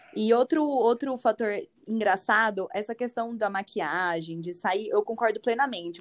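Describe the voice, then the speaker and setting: In a normal speaking voice, a woman talks with lively intonation at a fairly high pitch. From Brazil. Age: 20s. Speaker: former master's student. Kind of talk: casual chat.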